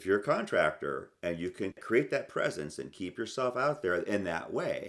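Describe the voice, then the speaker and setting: A man talks at a moderate pace. He leaves hardly any pauses. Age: 60s. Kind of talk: podcast interview conversation.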